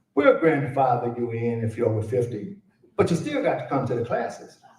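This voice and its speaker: Moderately paced male speech in an American accent, with audible room echo. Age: 70s. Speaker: conference speaker on Arabic education. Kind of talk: conference speech. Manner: animated.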